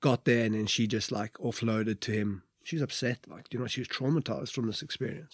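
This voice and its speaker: A man speaks very fast with a Welsh accent, his pitch medium and its variation ordinary. The sound is dry and close, with no echo. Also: hardly any pauses. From Wales. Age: 30s. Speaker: former rugby player. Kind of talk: casual interview. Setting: studio in London.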